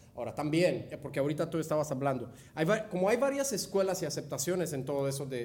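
Over noticeable background noise and audible room echo, a man talks at a very fast pace with a fairly high pitch and ordinary pitch variation. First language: not Spanish (speaking Spanish). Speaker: innovation consultant. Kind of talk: casual interview. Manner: halting, many fillers.

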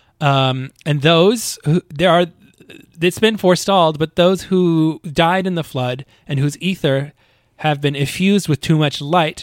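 An unremarkable speaking voice from a man, fairly high-pitched, with ordinary pitch variation and a moderate pace, in a very clean recording with a silent background and a dry, close sound without echo. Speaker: podcast co-host and editor. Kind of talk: casual chat recapping a video game. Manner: playful, laughs often.

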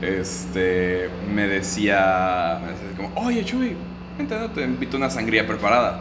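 A man with a very deep, low voice speaks fairly slowly with ordinary pitch variation, amid noticeable background noise and audible room echo. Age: young. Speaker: podcast co-host. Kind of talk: casual chat.

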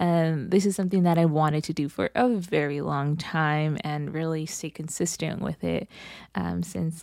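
A woman with an American accent speaks at a moderate pace, her very deep, low pitch carrying a dark, mellow tone and ordinary pitch variation. The recording is very clean, with a silent background. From Los Angeles, California. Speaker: podcast host and counselor. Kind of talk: casual solo monologue. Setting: home podcast setup with mic. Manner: animated.

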